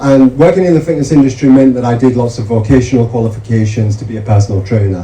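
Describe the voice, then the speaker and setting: A man with a Yorkshire accent, medium pitch and a very fast pace over noticeable background noise. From northern England, Yorkshire (Mirfield). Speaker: medical researcher. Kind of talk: seminar talk.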